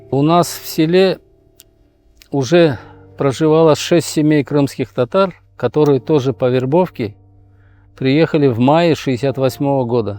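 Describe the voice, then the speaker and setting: Music plays in the background while a man talks at a fairly slow pace. His pitch is medium with ordinary variation. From Uzbekistan, Tashkent region. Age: 70s. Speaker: activist. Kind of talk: interview testimony.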